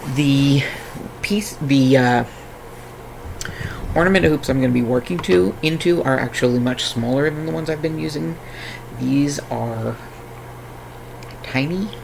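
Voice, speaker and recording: A man with a fairly high pitch talks at a fairly slow pace with lively intonation and long, frequent pauses, amid audible room echo and noticeable background noise. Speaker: crafting streamer. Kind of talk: casual chat. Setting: live stream.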